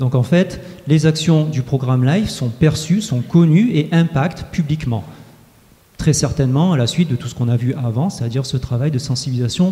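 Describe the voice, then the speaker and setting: Noticeable background noise runs under this recording. A man speaks at a fairly high pitch with ordinary pitch variation. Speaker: researcher presenting survey results. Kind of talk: conference presentation. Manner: fast; hesitant with frequent filler euh.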